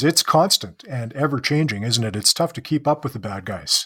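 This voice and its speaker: In a Canadian accent, a man with a fairly high pitch talks at a fairly quick pace, his intonation lively and his voice somewhat breathy, on a very clean recording with a silent background. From Canada. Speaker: podcast host. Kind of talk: casual interview.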